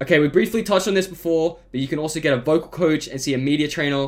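A man talks at a very fast pace. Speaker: podcast host. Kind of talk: scripted narration. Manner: monotone.

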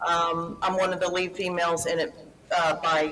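A woman with a Texan accent talks at a moderate pace in a fairly low pitch. Noticeable background noise sits behind her. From Houston, Texas. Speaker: actress and producer.

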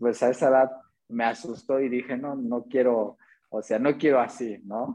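A man's dark, mellow voice at a medium pitch and a fairly slow pace. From Mexico, Atlixco, Puebla. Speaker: circus artist and acrobatics coach. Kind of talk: interview. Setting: live stream.

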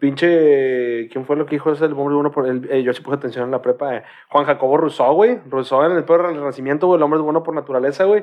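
Here a man with a Mexican accent talks at a very fast pace. His pitch is fairly high, with ordinary variation. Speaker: podcast co-host. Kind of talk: casual chat.

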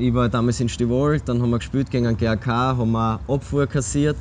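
A man of medium pitch talks in a normal speaking voice with ordinary pitch variation. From Austria, Graz. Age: 20s. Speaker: football goalkeeper. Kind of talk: casual interview.

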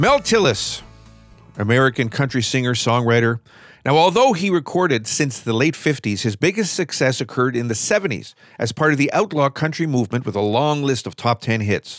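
A man with an unremarkable speaking voice talks at a moderate pace. His pitch is medium and his intonation lively. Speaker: radio host. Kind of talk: radio DJ patter introducing songs, scripted-sounding. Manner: smooth, upbeat, friendly; clear, measured, informative.

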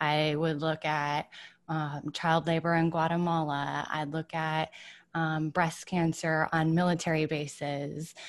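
In a Midwestern accent, this voice speaks at a fairly slow pace with monotone, flat intonation against a quiet background. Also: woman, very deep, low pitch for a woman. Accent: General American (Midwest). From Michigan, US Midwest. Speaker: wellness writer and entrepreneur. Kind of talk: casual interview.

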